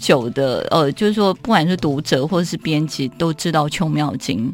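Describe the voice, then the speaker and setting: A woman speaks in an ordinary speaking voice at a moderate pace. Her intonation is lively. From Taiwan, Keelung. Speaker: author. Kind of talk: interview about her writing.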